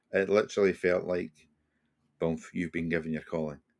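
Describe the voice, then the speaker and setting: A man with a Scottish accent, a very deep, low pitch and fairly even intonation. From Scotland. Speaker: retired police officer and hostage negotiator. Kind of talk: podcast interview, personal storytelling. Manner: conversational, with frequent repetitions and fillers.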